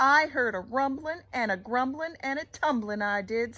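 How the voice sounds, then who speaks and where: A woman puts on a character voice at a high pitch. She keeps a moderate pace. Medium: read story. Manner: excitable, hurried.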